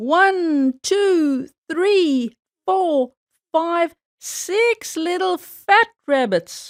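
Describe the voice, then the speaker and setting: A woman's put-on character voice, extremely high in pitch and very slow, in a very clean recording with a silent background. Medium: read story. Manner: chuckling, slow.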